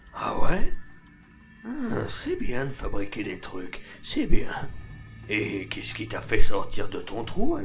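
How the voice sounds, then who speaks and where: Using a put-on character voice, a man speaks at a fairly slow pace with faint music in the background. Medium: machinima. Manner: casual slangy, calls everyone mec; speaks of himself in third person at times.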